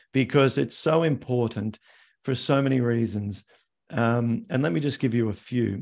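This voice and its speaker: With an Australian accent, a man speaks at a medium pitch and a moderate pace. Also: ordinary pitch variation, very even loudness. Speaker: arthritis health educator. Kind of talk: live Q&A interview. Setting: video call.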